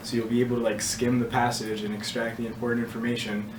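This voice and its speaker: With audible room echo and noticeable background noise, a man speaks at medium pitch and a fairly quick pace in a monotone, flat intonation. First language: not English. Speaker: test prep tutor. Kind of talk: casual advice session.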